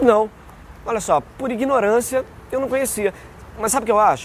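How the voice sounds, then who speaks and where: A man speaks at a moderate pace. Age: 40s. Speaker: voice actor. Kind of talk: interview answer.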